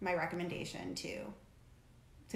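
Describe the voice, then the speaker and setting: A woman with an American accent speaks at a fairly low pitch, with noticeable background noise and audible room echo. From Connecticut (New Haven). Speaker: co-host of a lifestyle video channel. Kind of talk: casual chat.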